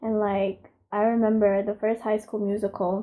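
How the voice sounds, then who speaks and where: A woman at medium pitch talks at a moderate pace in a monotone, flat intonation. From Philippines. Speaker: beauty vlogger. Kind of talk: makeup tutorial; casual chat. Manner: casual, hesitant with fillers.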